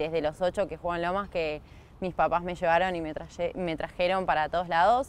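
Her voice sits fairly low and stays monotone and flat, recorded as dry sound with no echo. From Argentina, Canning (Buenos Aires province). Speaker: field hockey player. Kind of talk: interview. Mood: warm, smiling. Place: open country.

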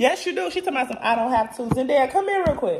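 Over music in the background, a woman projects a raised, high-pitched voice with an animated tone and very wide pitch swings. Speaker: vlogger; mother. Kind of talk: casual vlog chat.

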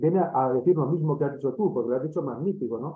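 Very fast and fairly high-pitched, a man speaks in a Spanish accent. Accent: Peninsular Spanish. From Spain. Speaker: academic organizer; audience member. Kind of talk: academic discussion. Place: home room. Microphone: webcam.

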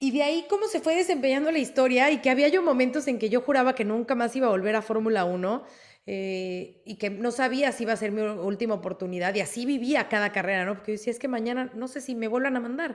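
Against a quiet background, a woman talks at a very fast pace and high pitch, with lively intonation and hardly any pauses. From Mexico. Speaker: sports reporter. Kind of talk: interview. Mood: warm, reflective, proud. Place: home room. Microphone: video call.

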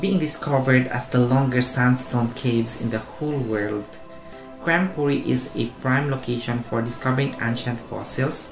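A man's fairly slow speech with ordinary pitch variation, music playing in the background. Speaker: review vlogger. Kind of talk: informative vlog narration. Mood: friendly, smiling. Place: home room. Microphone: lapel.

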